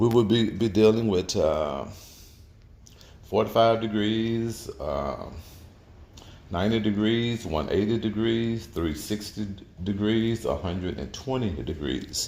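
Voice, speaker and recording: Amid audible room echo, a man with a fairly low pitch talks at a fairly slow pace, with ordinary pitch variation and long, frequent pauses. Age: 60s. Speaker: auto mechanic. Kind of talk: tutorial. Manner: halting, many repetitions and fillers.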